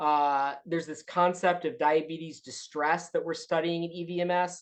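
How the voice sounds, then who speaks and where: A woman speaks at a fairly quick pace in a very deep, low voice. Her intonation is monotone and flat. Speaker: medical school faculty physician. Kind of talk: educational presentation. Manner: fast; hesitant, many fillers.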